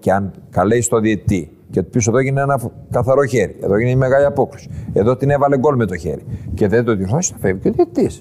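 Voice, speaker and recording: A man speaks very fast with lively intonation. His pitch sits in the medium range. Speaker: football club president and former referee. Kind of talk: casual interview. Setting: club premises in Tripoli.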